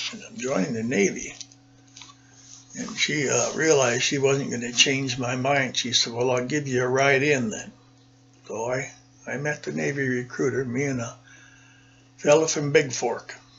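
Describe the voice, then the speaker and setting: Through audible room echo and noticeable background noise, a man with an American accent speaks with long, frequent pauses. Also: medium pitch for a man, ordinary pitch variation, moderate pace. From Minnesota, US Upper Midwest. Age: 70s. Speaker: war veteran. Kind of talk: oral history interview.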